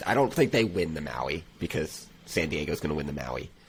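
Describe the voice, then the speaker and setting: The man's voice has vocal fry. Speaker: college basketball podcast co-host. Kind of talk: casual sports podcast discussion.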